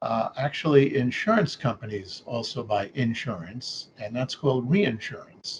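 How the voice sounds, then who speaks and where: A man with a New York accent talks at a fairly slow pace. His medium-pitched voice is somewhat breathy, with very wide pitch swings. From New York City. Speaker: actuary. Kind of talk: interview. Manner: halting, many fillers.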